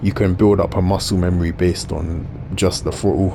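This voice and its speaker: A man with a very deep, low pitch speaks at a moderate pace amid audible room echo and noticeable background noise. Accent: South London. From South London. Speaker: gaming YouTuber. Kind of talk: gameplay commentary. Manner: casual, conversational.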